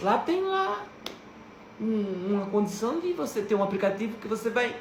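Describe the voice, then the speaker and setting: With noticeable background noise and audible room echo, a woman talks at a fairly slow pace and a medium pitch. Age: 60s. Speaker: religious video creator. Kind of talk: devotional talk.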